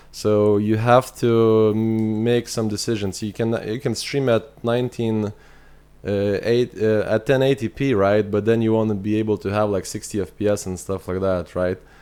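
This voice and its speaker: Speaking at a moderate pace, a man with a fairly low voice has a dark, mellow tone and fairly even intonation. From Lithuania. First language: Lithuanian. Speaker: video game streamer. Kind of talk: live gameplay stream chat. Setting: live stream. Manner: halting, many repetitions.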